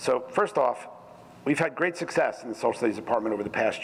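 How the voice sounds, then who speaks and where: The man's pitch varies in an ordinary way while noticeable noise sounds in the background. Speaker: school department supervisor presenting to board. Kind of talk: formal report presentation. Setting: school board meeting.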